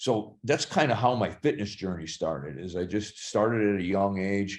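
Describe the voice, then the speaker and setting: With a normal speaking voice, a man of fairly low pitch talks at a moderate pace with ordinary pitch variation against a quiet background. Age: 60s. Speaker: actor and fitness trainer. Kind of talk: podcast interview.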